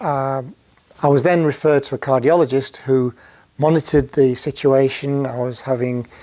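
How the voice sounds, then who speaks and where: Here a man speaks with a Yorkshire accent. His pitch is fairly high and his intonation fairly even. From northern England, Sheffield. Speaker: heart surgery patient. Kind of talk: personal testimony. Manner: halting, many fillers.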